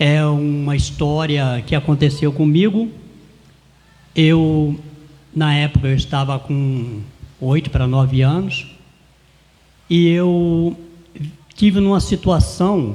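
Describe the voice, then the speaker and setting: At a very slow pace with long, frequent pauses, a man speaks with a fairly high pitch and ordinary pitch variation. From Brazil, interior of Rio de Janeiro state (Porciúncula). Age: 70s. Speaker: cordel poet and folia de reis singer. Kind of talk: interview, personal life story.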